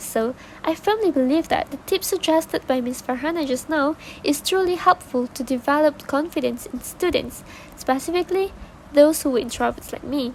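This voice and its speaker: A high-pitched woman with a non-native accent, lively intonation and a moderate pace. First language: not English. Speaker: podcast guest. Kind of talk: scripted podcast discussion. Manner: formal.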